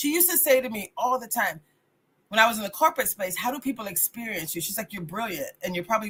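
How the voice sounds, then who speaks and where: Speaking in an American accent, a woman sounds animated and bright, with a sharp tone and fairly high pitch. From US South. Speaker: radio host and life coach. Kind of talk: motivational talk. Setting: live radio broadcast. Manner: fast.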